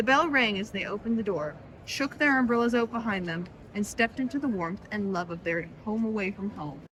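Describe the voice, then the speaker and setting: Lively intonation carries the speech over noticeable background noise. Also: woman. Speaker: author's daughter, co-host. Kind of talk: reading aloud.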